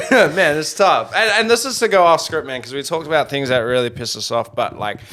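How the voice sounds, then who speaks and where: An animated man at a fairly quick pace, his pitch swinging very widely, with noticeable background noise. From South Africa. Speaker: podcast co-host, comedian. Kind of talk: casual comedic chat.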